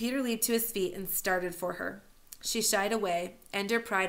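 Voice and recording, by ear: Someone reading aloud in a natural voice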